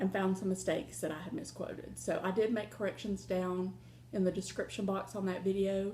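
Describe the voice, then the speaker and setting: A woman in a Southern US accent, medium in pitch, dark and mellow in tone with vocal fry, at a fairly quick pace. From Ohio. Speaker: crafting vlogger. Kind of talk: casual vlog chat.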